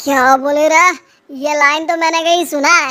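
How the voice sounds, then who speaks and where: In a cartoonish character voice, the speaker goes at a moderate pace with monotone, flat intonation. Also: woman, high pitch for a woman. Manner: rough, blustering.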